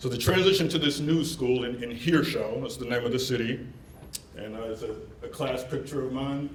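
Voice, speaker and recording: A man speaks at a fairly quick pace and medium pitch, with ordinary pitch variation. Noticeable background noise and audible room echo surround him. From Germany (Bavaria, Oberpfalz), American military family. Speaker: keynote speaker, international recruiter. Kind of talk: keynote presentation.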